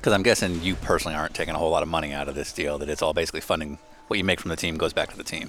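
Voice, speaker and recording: Music plays in the background as a man with a very deep, low pitch speaks at a very fast pace with fairly even intonation. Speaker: podcast host.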